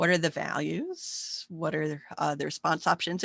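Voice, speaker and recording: A woman's fairly low voice with vocal fry, dry and close with no echo. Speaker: psychology professor. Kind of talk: recorded online lecture. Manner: fast.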